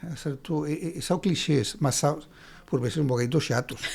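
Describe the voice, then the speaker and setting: Speaking with a Spanish accent at a moderate pace, a man has a fairly high pitch, a dark, mellow tone and ordinary pitch variation. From Spain, Andalusia. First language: Spanish (speaking Portuguese). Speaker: writer and lawyer. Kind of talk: interview. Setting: studio podcast. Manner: halting, many repetitions.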